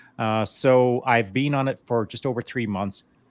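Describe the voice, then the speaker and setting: This is an ordinary speaking voice from a man at medium pitch, with ordinary pitch variation, a moderate pace, and a dry, close sound with no echo. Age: 60s. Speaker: veteran guest on podcast. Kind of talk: casual chat. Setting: live online show.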